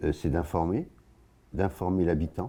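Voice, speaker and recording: A man's voice with a dark, mellow tone sits on a very clean recording with a silent background. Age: 80s+. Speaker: local party spokesman. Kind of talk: interview. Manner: halting.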